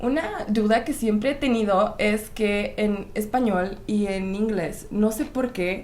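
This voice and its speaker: A woman's fairly high voice with ordinary pitch variation, at a very slow pace with hardly any pauses, amid audible room echo and noticeable background noise. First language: Czech (speaking Spanish). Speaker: YouTuber. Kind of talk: casual chat.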